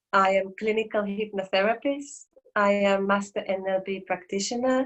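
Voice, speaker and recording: A woman with a Finnish accent and fairly even intonation. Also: medium pitch for a woman, moderate pace. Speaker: therapist and counsellor. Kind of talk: interview. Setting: video call.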